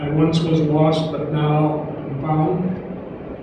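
Amid noticeable background noise and strong room echo, a man speaks at a very slow pace. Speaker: clergyman. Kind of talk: memorial tribute speech. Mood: solemn, reflective. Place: hall.

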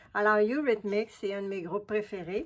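The speaker is a woman. Her pitch sits fairly high. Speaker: collage artist YouTuber. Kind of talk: casual vlog. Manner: animated.

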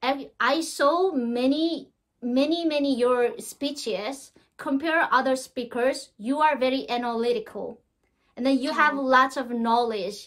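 A woman with a Korean accent speaks at a fairly slow pace in a high pitch with ordinary pitch variation against a quiet background. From North Korea. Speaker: North Korean defector; interview guest. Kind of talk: interview. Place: home room. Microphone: webcam.

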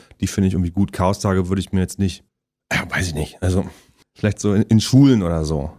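Against a quiet background, a man with a very deep, low pitch and a dark, mellow tone talks very fast with ordinary pitch variation. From Halle (Saale), Saxony-Anhalt, Germany. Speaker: actor and musician. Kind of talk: casual interview chat. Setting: studio. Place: studio.

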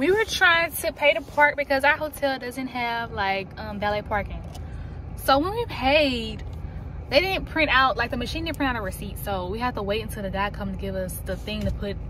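A woman speaks at a moderate pace. The sound is dry with no echo, with light background noise. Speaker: vlogger. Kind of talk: casual vlog chat. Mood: lively, a bit impatient. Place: car. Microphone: phone near.

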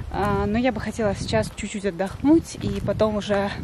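A woman speaks in a dry sound with no echo. Loud background noise is present. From Yeysk, southern Russia. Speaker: Russian language teacher, vlogger. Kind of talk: casual vlog talk to camera. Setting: outdoors. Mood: relaxed, a bit hot. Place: garden. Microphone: phone near.

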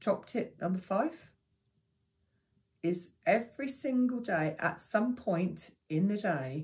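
A woman's voice comes through somewhat breathy. Her pitch swings very widely. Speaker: meditation teacher. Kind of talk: tutorial.

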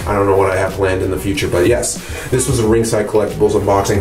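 A man's fairly low voice at a very fast pace with fairly even intonation, over noticeable background noise. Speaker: toy reviewer. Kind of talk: casual vlog chat. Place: bathroom. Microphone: phone near.

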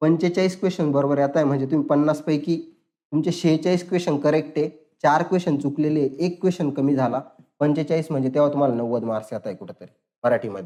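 A man with a fairly high pitch talks in a dark, mellow tone. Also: ordinary pitch variation. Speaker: exam coaching teacher. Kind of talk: online tutorial lecture. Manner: animated.

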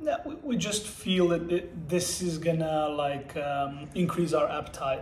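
With audible room echo and light background noise, a high-pitched man speaks with hardly any pauses and ordinary pitch variation. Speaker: boyfriend in challenge video. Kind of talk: casual conversation. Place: home room. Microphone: camera far.

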